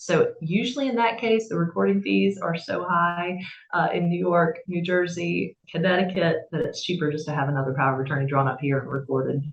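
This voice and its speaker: With a slight Southern US accent, the speech runs at a fairly quick pace with lively intonation and hardly any pauses. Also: woman, fairly low pitch for a woman. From South Carolina, Camden. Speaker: estate attorney. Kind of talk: interview.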